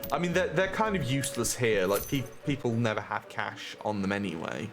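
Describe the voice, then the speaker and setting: Over music in the background, a man talks at a fairly quick pace with very wide pitch swings and audible room echo. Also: medium pitch for a man. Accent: British. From UK. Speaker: game streamer. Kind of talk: live stream chat while gaming. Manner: casual, halting with repetitions.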